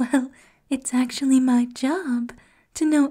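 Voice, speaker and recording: Someone is whispering in a soft-spoken way at a very slow pace. The background is quiet. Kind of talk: character roleplay monologue addressing listener. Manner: soft flirtatious ASMR whisper.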